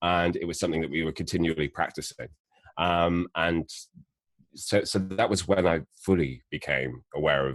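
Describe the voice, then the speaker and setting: A man's very deep, low voice with vocal fry, fairly even intonation, at a moderate pace. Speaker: actor and voice actor. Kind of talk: interview.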